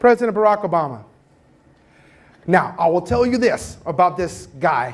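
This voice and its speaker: A man with a high pitch and an animated tone swings very widely in pitch. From Cuba, raised in Louisiana. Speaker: professor. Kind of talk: keynote talk. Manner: fast.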